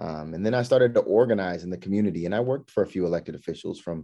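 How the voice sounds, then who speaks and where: Against a quiet background, a man with an American accent talks very fast in a dark, mellow tone. His pitch is fairly low, with ordinary pitch variation. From Southern California. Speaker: state legislator. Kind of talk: personal introduction, prepared monologue.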